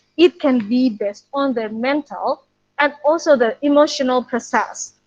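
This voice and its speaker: In an Indonesian accent, a woman with a high-pitched voice speaks at a moderate pace with ordinary pitch variation, the sound dry and close with no echo. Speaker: preschool English teacher. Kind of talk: webinar talk. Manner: halting.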